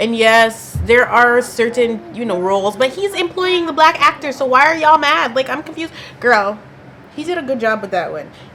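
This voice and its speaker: The pace is moderate and the pitch swings very widely. Noticeable background noise runs underneath. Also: woman, high pitch for a woman. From Canada. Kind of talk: casual talk to camera. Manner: chatty, animated.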